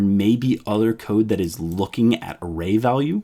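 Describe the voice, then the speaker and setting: A man talks in an unremarkable speaking voice, pitched fairly low. His intonation is lively. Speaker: programming educator. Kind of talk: live-streamed coding tutorial. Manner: casual, filler-heavy explanation.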